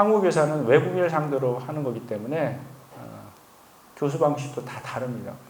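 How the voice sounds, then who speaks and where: A man's fairly high voice with ordinary pitch variation and a fairly quick pace, plus audible room echo and noticeable background noise. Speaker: missionary. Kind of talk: testimony. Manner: conversational, with frequent fillers.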